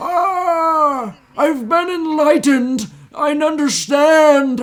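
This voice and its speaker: Putting on a character voice, a man speaks at an extremely high pitch, sounding strained and going at a very slow pace. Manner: smug, mock-enlightened.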